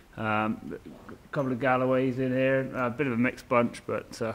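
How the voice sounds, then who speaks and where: A man talks in a monotone, flat intonation. There is noticeable background noise. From Dorset, England. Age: 20s. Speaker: stockman. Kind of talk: casual explanation on location. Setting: outdoors and in a barn. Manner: halting.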